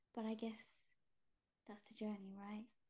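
This woman talks with a London accent. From East London, England (British Indian, Gujarati family). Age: 30s. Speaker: shamanic healer and artist. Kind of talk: casual interview chat.

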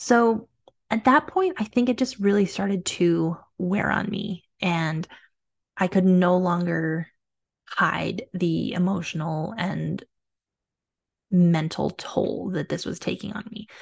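A somewhat breathy woman of medium pitch talks very slowly with long, frequent pauses and ordinary pitch variation. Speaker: fertility coach and podcast host. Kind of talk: personal storytelling monologue. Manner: warm, conversational.

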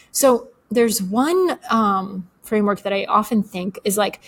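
A woman speaks at a fairly slow pace with a Bulgarian accent. Her voice is fairly high and somewhat breathy, with ordinary pitch variation. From Bulgaria, then Atlanta, Georgia. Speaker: author and newsletter writer. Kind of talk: casual interview.

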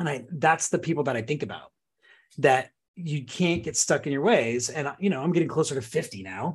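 In an American accent, a man with a fairly high, somewhat breathy voice speaks at a moderate pace with lively intonation, on a very clean recording with a silent background. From Southern California. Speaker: real estate agent. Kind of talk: casual interview.

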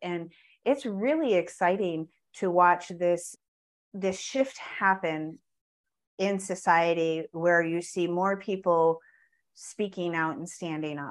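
A woman's fairly low voice at a very slow pace, with ordinary pitch variation and long, frequent pauses. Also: quiet background. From US Midwest (Wisconsin). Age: 50s. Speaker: real estate and life coach. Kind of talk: interview conversation.

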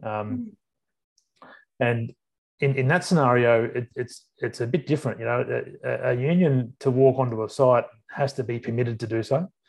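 Against a quiet background, a man with an Australian accent speaks somewhat breathily at a medium pitch and moderate pace, with ordinary pitch variation and long, frequent pauses. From Sydney, Australia. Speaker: workplace relations adviser. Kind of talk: podcast interview. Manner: halting.

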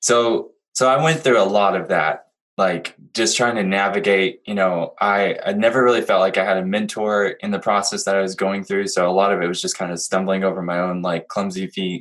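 A man with a plain, everyday voice talks at a fairly quick pace in a fairly low pitch for a man. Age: 30s. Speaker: former worship pastor, IT worker and musician. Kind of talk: casual chat.

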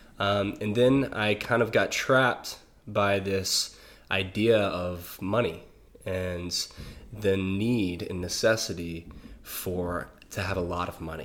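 A man with an American accent and a fairly low voice speaks at a very slow pace with fairly even intonation, with audible room echo. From US South (small-town Louisiana). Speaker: breathwork and psychedelic facilitator, musician. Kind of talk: casual interview. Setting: in person in the host's space.

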